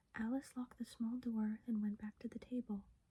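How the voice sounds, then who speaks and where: A soft-spoken voice moves at a moderate pace. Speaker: ASMR creator. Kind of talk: sleep story.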